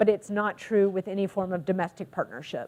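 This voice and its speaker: The voice belongs to a woman with an American accent. It has a dark, mellow tone. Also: very clean recording, silent background. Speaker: counselor and social work trainer. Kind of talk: lecture.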